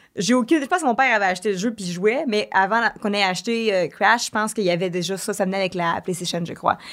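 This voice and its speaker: The pace is very fast, with hardly any pauses. Pitch varies in an ordinary way. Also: woman, medium pitch for a woman. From Quebec (Varennes). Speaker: streamer and singer. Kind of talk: casual chat. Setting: studio.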